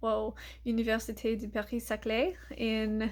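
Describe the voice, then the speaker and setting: A woman with an American accent and a fairly high pitch is heard in a very clean recording with a silent background. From United States. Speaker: vlogger, chemistry PhD student. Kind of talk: casual vlog to camera. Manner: hesitant, many fillers.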